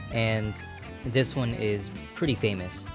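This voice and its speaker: A man speaks in a medium pitch with ordinary pitch variation. Music plays in the background. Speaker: sim racing gamer. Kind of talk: casual gaming commentary voice-over. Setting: home microphone, static noise. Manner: casual, hesitant.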